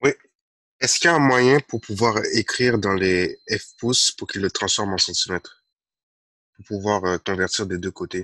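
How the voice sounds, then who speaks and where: A man with a fairly low pitch and a bright, sharp tone speaks at a moderate pace with long, frequent pauses and big swings in loudness, in a dry sound with no echo against a quiet background. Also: ordinary pitch variation. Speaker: student. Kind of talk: classroom question. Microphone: video call.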